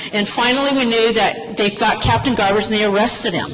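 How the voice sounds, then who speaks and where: With an American accent, a woman speaks at a fairly high pitch and fairly even intonation, amid noticeable background noise and audible room echo. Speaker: former police officer sharing family memories. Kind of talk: personal storytelling to an audience. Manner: loud.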